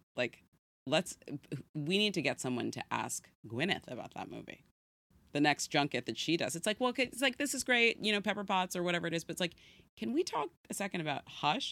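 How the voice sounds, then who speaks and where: Fairly low-pitched with vocal fry, a woman in an American accent uses a bright, sharp tone and very wide pitch swings at a fairly quick pace. The sound is dry and close with no echo, on a very clean recording with a silent background. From San Francisco, northern California. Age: 40s. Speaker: podcast guest. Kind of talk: casual chat.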